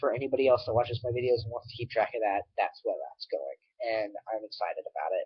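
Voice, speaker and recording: This man speaks at a very fast pace. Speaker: vlogger. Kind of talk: casual vlog to webcam. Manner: halting, many fillers.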